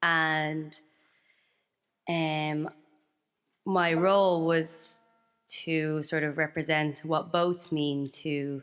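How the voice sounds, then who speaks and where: In a very clean recording with a silent background, a woman with a very deep, low pitch speaks at a very slow pace in monotone, flat intonation, leaving long, frequent pauses. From Libya. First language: Arabic. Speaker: singer. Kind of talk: speaking to a live audience. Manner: hesitant.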